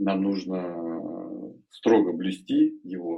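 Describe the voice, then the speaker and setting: A man's voice, fairly low in pitch. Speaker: podcast co-host. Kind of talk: casual podcast interview.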